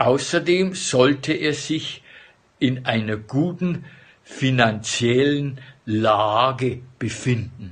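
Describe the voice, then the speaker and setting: With ordinary pitch variation, the man talks very slowly. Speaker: vlogger. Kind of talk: casual vlog chat, reading ads aloud with comments. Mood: amused, joking. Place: home room. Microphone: phone near.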